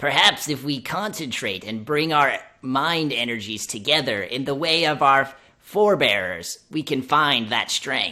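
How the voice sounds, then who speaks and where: A put-on character voice at a low-to-middle pitch and a moderate pace. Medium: actual play.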